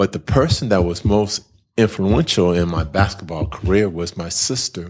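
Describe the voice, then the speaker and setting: A man with an American accent speaks in a very deep, low pitch with ordinary pitch variation. The recording is very clean, with a silent background. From California. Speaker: nonprofit director, former college basketball player. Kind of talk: interview. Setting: classroom.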